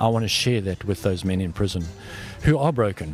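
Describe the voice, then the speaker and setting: Music plays in the background. A man speaks with a South African accent. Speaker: prison ministry worker. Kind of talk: interview. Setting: in-person interview.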